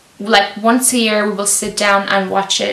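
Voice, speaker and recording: A woman speaks at a moderate pace and a medium pitch, with noticeable background noise and audible room echo. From Lithuania. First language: Lithuanian. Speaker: YouTuber. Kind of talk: casual Q&A vlog.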